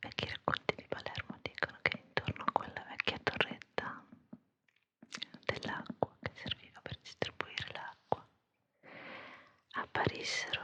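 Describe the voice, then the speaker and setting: Whispering, a woman leaves long, frequent pauses, and her loudness swings widely. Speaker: ASMR creator, storyteller. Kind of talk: ASMR whispered storytelling for sleep. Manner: soft, whispering, slow.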